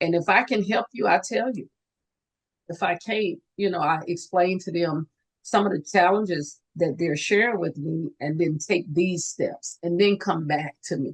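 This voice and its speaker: A woman has a normal speaking voice, fairly low in pitch with ordinary pitch variation. She talks at a fairly slow pace. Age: 60s. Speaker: nurse and student loan advisor. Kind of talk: interview. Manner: conversational, many fillers.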